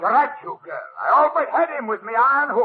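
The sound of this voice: At a fairly quick pace, a man does a put-on character voice at an extremely high pitch, with vocal fry and lively intonation.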